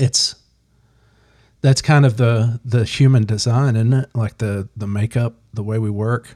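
Dark and mellow in tone, a man's medium-pitched voice is somewhat breathy, with fairly even intonation. He speaks at a fairly slow pace, in a dry, close sound with no echo. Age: 40s. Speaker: podcast co-host and firefighter. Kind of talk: casual chat.

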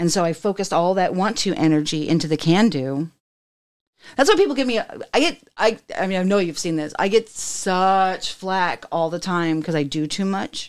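On a very clean recording with a silent background, a woman talks at a moderate pace with medium pitch and ordinary pitch variation. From Germany, later Texas. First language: German. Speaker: podcast host. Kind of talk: casual interview chat.

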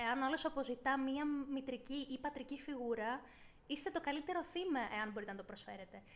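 Speaking at a moderate pace, a woman uses ordinary pitch variation. Her voice sits at a high pitch. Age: 20s. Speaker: podcast co-host. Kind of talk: casual chat.

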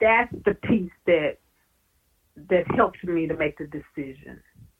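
A woman's fairly low voice in a Southern US accent, with lively intonation at a very slow pace. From Louisiana. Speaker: professor. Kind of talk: oral history interview.

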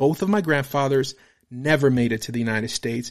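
The delivery is very fast with ordinary pitch variation, on a very clean recording with a silent background. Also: man. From Romania. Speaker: author reading his own book. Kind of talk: reading aloud. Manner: occasional ad-libs off script.

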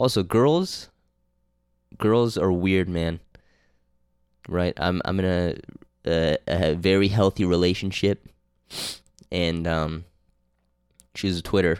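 In a Canadian accent, a man with a very deep, low pitch speaks at a very slow pace with long, frequent pauses and fairly even intonation on a very clean recording with a silent background. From Canada, Toronto. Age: 20s. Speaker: podcast host and film student. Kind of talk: casual solo monologue. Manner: halting, many fillers.

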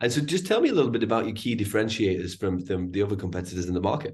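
The man speaks at a fairly low pitch. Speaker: podcast host, recruiter. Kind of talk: interview.

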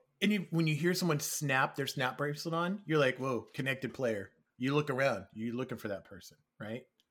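Lively intonation runs through a man's plain, everyday voice at a medium pitch. He talks at a fairly quick pace. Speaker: developer relations executive. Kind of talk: casual interview chat.

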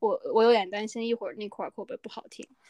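Talking very fast with a fairly high pitch, a woman is heard in a very clean recording against a silent background, the sound dry and close with no echo. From northern China. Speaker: podcast co-host. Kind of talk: casual chat.

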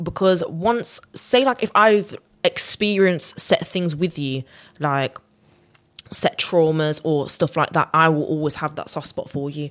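Speaking at a moderate pace, a woman with a Birmingham accent has a very deep, low pitch and ordinary pitch variation. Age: young. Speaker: R&B singer. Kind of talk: casual chat.

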